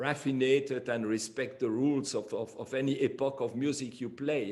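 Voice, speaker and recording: A man speaks at a fairly slow pace with a French accent. His pitch sits in the medium range. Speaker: flutist. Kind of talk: interview. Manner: halting.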